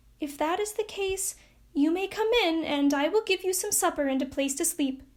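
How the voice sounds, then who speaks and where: A woman puts on a squeaky character voice at an extremely high pitch, with ordinary pitch variation and a moderate pace. The recording is very clean with a silent background. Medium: read story.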